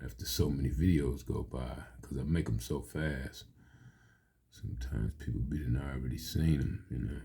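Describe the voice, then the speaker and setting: This man's voice is very deep and low, with a dark, mellow tone and vocal fry. His pitch varies in an ordinary way, and the room echo is audible. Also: moderate pace. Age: 60s. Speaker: amateur video creator and poet. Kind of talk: casual monologue.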